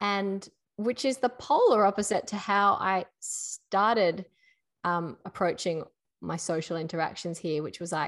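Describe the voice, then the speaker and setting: Against a quiet background, a woman with an Australian accent speaks at a fairly slow pace. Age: 30s. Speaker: podcast co-host. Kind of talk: casual chat.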